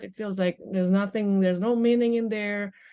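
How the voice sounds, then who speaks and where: Against a quiet background, a speaker with a non-native accent talks in a dark, mellow tone. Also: woman. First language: not English. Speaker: life coach. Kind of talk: podcast interview. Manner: halting.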